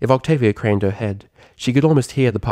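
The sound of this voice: What we hear is an unforced reading voice.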